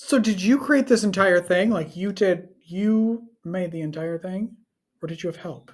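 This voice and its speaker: A somewhat breathy woman with a northern Wisconsin accent, at a medium pitch and fairly slow pace, with ordinary pitch variation. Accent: Midwestern, northern Wisconsin. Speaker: podcast host. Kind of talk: interview; scripted introduction.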